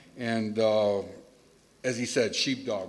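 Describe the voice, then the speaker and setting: A man speaks with a Chicago accent, and a noticeable room echo comes through. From Chicago, US. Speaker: retreat graduate. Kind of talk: testimony. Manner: loud.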